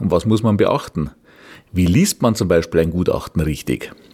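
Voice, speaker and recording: A man with a Bavarian accent speaks at a moderate pace, his very deep, low pitch carrying a dark, mellow tone. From Bavaria, Regensburg. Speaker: real estate appraiser and podcast host. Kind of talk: podcast introduction monologue. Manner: formal.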